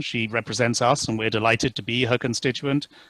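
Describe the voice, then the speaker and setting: A man with a British accent, bright, sharp tone, and fairly even intonation, in dry, close sound with no echo. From UK. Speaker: company CEO. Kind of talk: webinar talk.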